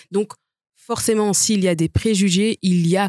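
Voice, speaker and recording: A woman speaks with a medium pitch, fairly even intonation, and a dark, mellow tone. The recording is very clean, with a silent background and a dry, close sound with no echo. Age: 30s. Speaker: lawyer. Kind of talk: debate.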